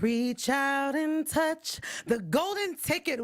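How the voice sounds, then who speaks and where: A woman's animated tone in a very clean recording with a silent background. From California. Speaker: entertainment show host. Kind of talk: casual chat.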